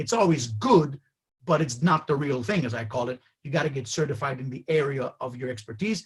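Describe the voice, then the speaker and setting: A man talks at a fairly quick pace with lively intonation. His voice is somewhat breathy. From Greece. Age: 50s. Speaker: HR educator and trainer. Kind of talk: webinar presentation; webinar Q&A. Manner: fast.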